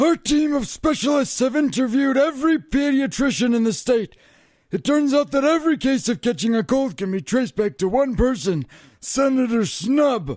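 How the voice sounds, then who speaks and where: At a moderate pace, a man performs a put-on character voice. His pitch sits extremely high. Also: very clean recording, silent background. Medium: audio drama. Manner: formal, clinical.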